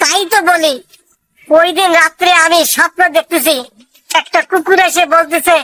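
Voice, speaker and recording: In a cartoonish character voice with an extremely high pitch, a woman talks at a moderate pace in a monotone, flat intonation and very even loudness, with a dry, close sound and no echo. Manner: gruff, scolding.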